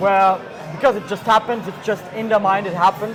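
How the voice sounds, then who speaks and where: A man speaks in a high pitch. Audible room echo and noticeable background noise surround his voice. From Austria. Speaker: magician and mentalist. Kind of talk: casual chat.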